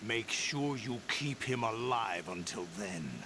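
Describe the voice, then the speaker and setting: Loud background noise fills the clip. A man uses a put-on character voice at medium pitch and a fairly slow pace. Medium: video game. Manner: cold, commanding.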